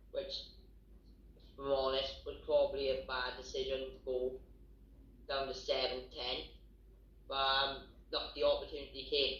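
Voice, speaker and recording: In a Welsh accent, a man talks at a moderate pace, leaving long, frequent pauses. His loudness swings widely, and the room echo is audible. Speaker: professional boxer. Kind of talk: interview.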